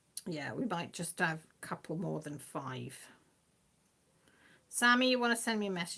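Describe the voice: With vocal fry and a fairly bright tone, a woman speaks at a moderate pace in a fairly low pitch with ordinary pitch variation.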